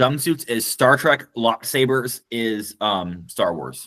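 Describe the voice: Music plays in the background as the speaker goes at a fairly slow pace. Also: man.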